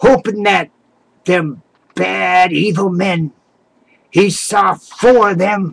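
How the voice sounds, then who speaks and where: Speaking at a very slow pace with long, frequent pauses, a man uses a high pitch. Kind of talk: folksy tall tale. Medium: solo performance. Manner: rambling, halting, self-correcting.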